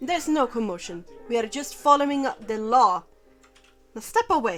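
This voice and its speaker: Over background music, a woman does a gruff, put-on character voice, high in pitch with very wide pitch swings, at a moderate pace. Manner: stern, authoritative.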